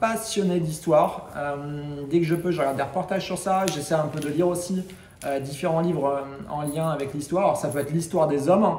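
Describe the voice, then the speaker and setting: The man talks at a fairly quick pace in a high pitch with ordinary pitch variation. Room echo is audible. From western France. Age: 30s. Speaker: travel vlogger. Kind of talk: casual self-introduction vlog. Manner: hesitant, many fillers.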